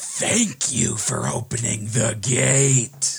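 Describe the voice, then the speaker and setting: A man booms out in a put-on character voice. It is raspy and sits at a medium pitch. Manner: menacing, maniacal.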